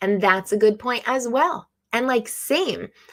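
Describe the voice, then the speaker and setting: This woman has an unremarkable speaking voice, fairly high in pitch, with lively intonation. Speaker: live stream host, drone hobbyist. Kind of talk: casual live stream chat. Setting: live stream.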